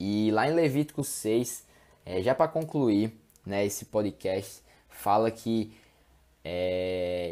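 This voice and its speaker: Speaking at a very slow pace with long, frequent pauses, a man with a fairly low pitch and a dark, mellow tone keeps his intonation lively. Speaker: podcast host, evangelical preacher. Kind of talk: informal sermon podcast. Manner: halting, stammering; casual, conversational.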